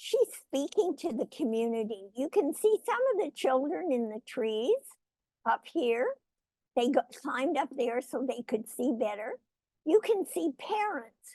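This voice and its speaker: In a dry, close sound with no echo, a woman with a high pitch and a dark, mellow tone talks at a fairly slow pace, her pitch swinging very widely. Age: 80s+. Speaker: guest speaker, author and hospice co-founder. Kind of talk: presentation talk to an online audience.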